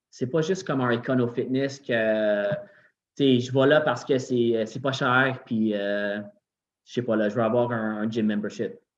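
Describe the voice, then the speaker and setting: In a Quebec accent, a man at medium pitch talks at a very slow pace with ordinary pitch variation and long, frequent pauses. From Quebec, Montreal. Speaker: gym owner. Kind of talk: casual chat.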